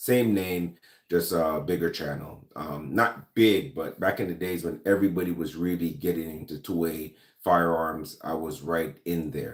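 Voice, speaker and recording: A man speaks with a Jamaican accent at a moderate pace. His pitch is very deep and low. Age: 40s. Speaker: gun and lifestyle YouTuber. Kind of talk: casual livestream chat. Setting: live stream. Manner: hesitant, many fillers.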